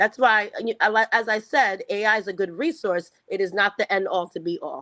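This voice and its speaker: A woman speaks in a bright, sharp tone at a fairly high pitch with ordinary pitch variation. Her fairly quick delivery has a dry, close sound with no echo. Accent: New York. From US, New York (Long Island). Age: 40s. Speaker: educator and education consultant. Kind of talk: interview. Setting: video call.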